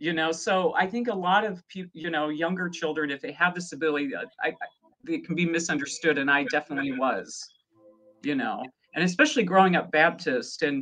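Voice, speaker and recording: A woman's plain, everyday voice with an American accent, fairly low in pitch, with lively intonation at a fairly quick pace. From US Midwest, rural Nebraska. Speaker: psychic medium. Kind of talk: casual interview.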